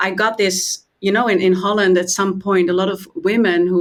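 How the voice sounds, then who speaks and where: A Dutch accent with ordinary pitch variation. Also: woman. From Netherlands. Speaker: meditation and trauma trainer. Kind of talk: interview.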